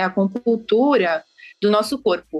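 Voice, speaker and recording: Hers is a plain, everyday voice, pitched fairly high. The woman talks at a moderate pace. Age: 30s. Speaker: architect and feng shui consultant. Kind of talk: podcast interview.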